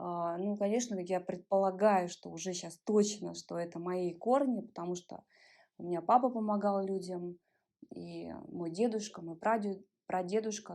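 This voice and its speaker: In a normal speaking voice, a woman talks at a moderate pace and medium pitch, with fairly even intonation but big swings in loudness, on a very clean recording with a silent background. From Ulan-Ude, Buryatia, Russia. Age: 30s. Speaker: body-oriented psychologist. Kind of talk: interview answer.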